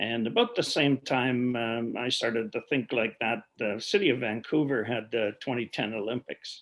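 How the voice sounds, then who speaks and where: In a western Canadian accent, a man speaks at a moderate pace and medium pitch with fairly even intonation and hardly any pauses. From Alberta, Canada. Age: 60s. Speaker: clean energy company executive. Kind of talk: podcast interview.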